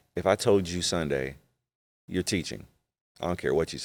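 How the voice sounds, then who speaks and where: With vocal fry and lively intonation, a man speaks in a very deep, low voice. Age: 40s. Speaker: pastor and podcast host. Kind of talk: casual chat. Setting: studio.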